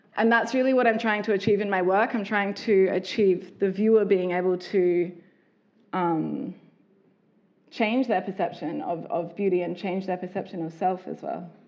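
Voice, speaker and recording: In an Australian accent, a woman with a medium-pitched voice speaks at a moderate pace with fairly even intonation. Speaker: artist and lingerie designer. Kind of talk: talk with audience.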